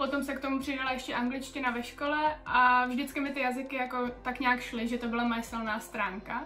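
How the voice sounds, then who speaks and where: The speaker talks at a fairly quick pace with hardly any pauses, in monotone, flat intonation. Audible room echo and noticeable background noise are present. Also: woman, high pitch for a woman. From Czech Republic (Chrudim). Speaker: Czech expat in Spain. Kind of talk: interview. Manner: casual, colloquial.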